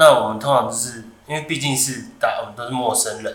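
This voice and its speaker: Amid noticeable background noise and audible room echo, a man with a Taiwanese accent speaks at a medium pitch and moderate pace. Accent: Taiwanese Mandarin. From Taiwan, Taoyuan. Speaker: podcast host. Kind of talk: casual chat.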